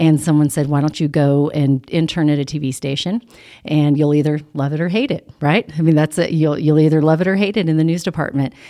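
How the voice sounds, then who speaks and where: The speaker, with an American accent, has a dark, mellow tone and fairly even intonation at a fairly quick pace, captured in a very clean recording with a silent background. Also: woman, very deep, low pitch for a woman. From California. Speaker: TV news anchor. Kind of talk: casual chat. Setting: studio.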